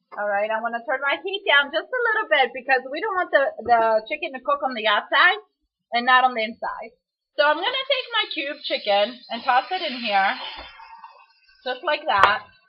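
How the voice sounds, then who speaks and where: A woman with a Greek accent speaks at a moderate pace in a high pitch that swings very widely. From Greece. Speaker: home cook. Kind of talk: cooking tutorial. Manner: casual.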